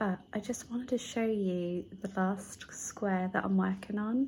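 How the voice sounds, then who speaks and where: A soft-spoken, somewhat breathy voice carries fairly even intonation. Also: woman. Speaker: crafting vlogger. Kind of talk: casual vlog chat.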